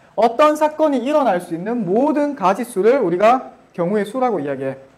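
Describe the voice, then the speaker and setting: This man's voice sits at an extremely high pitch and swings very widely. He speaks at a fairly quick pace. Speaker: math teacher. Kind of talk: lecture. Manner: casual informal speech.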